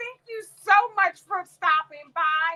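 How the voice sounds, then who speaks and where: A woman's raised, projected voice at an extremely high pitch, bright and sharp in tone, at a very slow pace. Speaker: crafting livestream host. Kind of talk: casual live stream chat.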